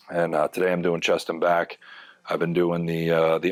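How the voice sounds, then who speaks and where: Speaking at a moderate pace, a man with a very deep, low voice delivers his words in a flat monotone. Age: 40s. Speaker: fitness vlogger in addiction recovery. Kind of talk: casual workout vlog talk. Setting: home gym. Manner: hesitant, many fillers.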